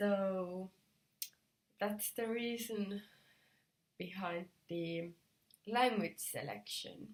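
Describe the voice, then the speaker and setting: Speaking very slowly in a Finnish accent, a woman has a medium pitch and ordinary pitch variation. Her voice is somewhat breathy. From Finland. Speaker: knitting video podcaster. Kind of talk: casual vlog talk. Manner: halting, many fillers.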